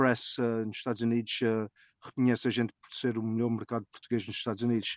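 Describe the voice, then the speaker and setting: A man speaks in a monotone, flat intonation, his sound dry and close with no echo. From Azores, raised mainly in US (Fall River, Massachusetts) from age 10. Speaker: family food import business owner. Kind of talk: interview. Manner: halting.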